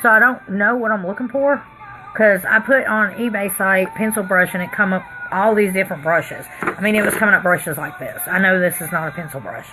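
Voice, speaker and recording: Over music in the background, a woman with a Tennessee accent speaks at a fairly quick pace, with medium pitch and ordinary pitch variation. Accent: Southern US accent, Tennessee. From Pennsylvania. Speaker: makeup artist vlogger. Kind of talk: casual livestream chat while doing makeup. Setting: live stream at home.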